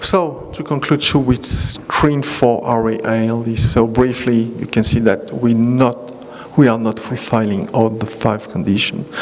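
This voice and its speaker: A man talks at a fairly slow pace in a French accent, with ordinary pitch variation. Music plays in the background and room echo is audible. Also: medium pitch for a man. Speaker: rheumatologist. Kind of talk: lecture. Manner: halting.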